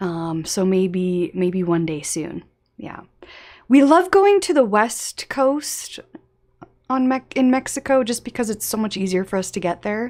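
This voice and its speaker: A woman with an American accent speaks at a fairly slow pace. Her pitch is fairly high, with very wide swings. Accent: often taken for American. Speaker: travel YouTuber. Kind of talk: live stream chat reading viewer questions. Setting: home live stream with face cam. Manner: casual, filler-heavy.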